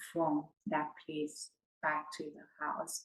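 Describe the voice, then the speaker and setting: With a West African accent, a woman speaks very slowly in a fairly low pitch. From Ivory Coast, West Africa. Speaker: podcast host, healing coach. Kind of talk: personal storytelling monologue.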